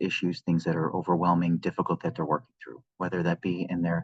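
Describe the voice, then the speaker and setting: A man speaks quietly at a fairly quick pace with a very deep, low pitch. The sound is dry and close, with no echo. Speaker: podcast host. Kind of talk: solo podcast talk. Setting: at work, in an open area. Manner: quiet, subdued.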